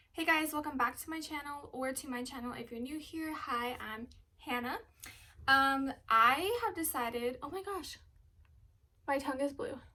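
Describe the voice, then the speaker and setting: A woman projects a raised voice at a high pitch, in a bright, sharp tone with lively intonation. She keeps a moderate pace, with big swings in loudness. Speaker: fitness vlogger. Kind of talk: casual vlog talk. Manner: casual, filler-heavy.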